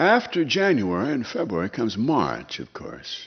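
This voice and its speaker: A man with a Midwestern accent talks at a fairly slow pace. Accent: American Midwest. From Minnesota, USA. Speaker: radio host and humorist. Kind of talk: humorous storytelling performance.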